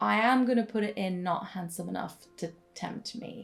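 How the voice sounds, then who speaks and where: Against music in the background, a woman speaks with ordinary pitch variation. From Netherlands. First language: Dutch. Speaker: book content creator. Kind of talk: casual talk to camera.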